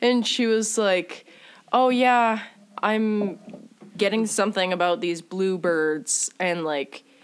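A woman speaks at a very slow pace. Her pitch shows ordinary variation. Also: medium pitch for a woman. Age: 20s. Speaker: podcast host. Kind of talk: casual chat.

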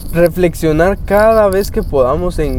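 A man's high-pitched voice at a fairly slow pace, over noticeable background noise. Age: 20s. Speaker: youth preacher. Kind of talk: devotional talk.

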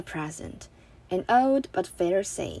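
The speaker talks at a very slow pace in a Chinese accent. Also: woman. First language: Mandarin Chinese. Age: 20s. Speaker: podcaster. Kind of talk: personal monologue.

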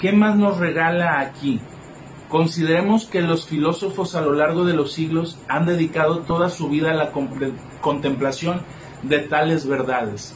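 A man speaks at a fairly slow pace with a fairly high pitch and ordinary pitch variation. Noticeable background noise and audible room echo fill the recording. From Mexico, Colima. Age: 20s. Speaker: psychologist. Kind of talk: live stream reflection talk. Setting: live video stream. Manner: halting.

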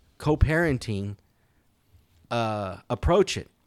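On a very clean recording with a silent background, a man of medium pitch speaks at a very slow pace. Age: 50s. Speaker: podcast co-host. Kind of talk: casual chat.

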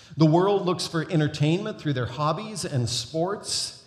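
With audible room echo, a man speaks fairly slowly in a fairly high voice with lively intonation. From North America. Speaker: guest preacher. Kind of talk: sermon. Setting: church.

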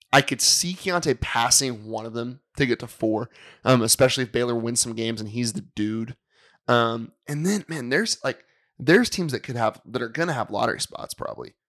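An unremarkable speaking voice from a man, medium in pitch, at a moderate pace, with ordinary pitch variation and big swings in loudness, in a dry, close sound with no echo on a very clean recording with a silent background. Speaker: basketball coach and co-host.

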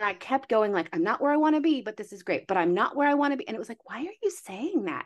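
A woman with a fairly high pitch speaks very fast with hardly any pauses, with very wide pitch swings and big swings in loudness. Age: 40s. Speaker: wellness coach. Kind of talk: casual chat. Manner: animated.

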